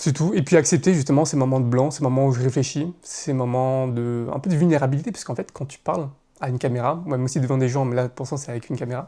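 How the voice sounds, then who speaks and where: At a very fast pace, a man talks in a dark, mellow tone of medium pitch with fairly even intonation. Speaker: content creator. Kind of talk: casual monologue. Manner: hesitant, filler sounds.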